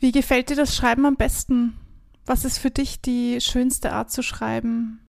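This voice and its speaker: A woman talks fairly slowly in a very clean recording where the background is silent. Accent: Austrian. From Austria. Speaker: podcast host and songwriter. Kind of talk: interview conversation with intro and outro.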